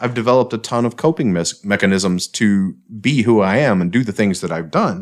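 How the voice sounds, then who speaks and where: Over a very clean recording with a silent background, a plain, everyday voice speaks with ordinary pitch variation. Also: man, fairly low pitch for a man. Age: 40s. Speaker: podcast co-host, former police officer. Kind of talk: casual chat.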